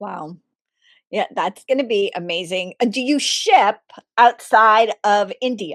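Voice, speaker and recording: Recorded with a dry, close sound and no echo, a woman with a normal speaking voice talks at a fairly slow pace and a fairly high pitch, with ordinary pitch variation and big swings in loudness. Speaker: podcast host. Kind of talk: interview question.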